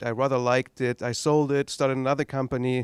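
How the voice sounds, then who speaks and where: A man talks at medium pitch and a fairly quick pace, in a monotone, flat intonation. The sound is dry and close, with no echo. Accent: German. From East Germany. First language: German. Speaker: tech entrepreneur. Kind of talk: talk to an audience. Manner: halting.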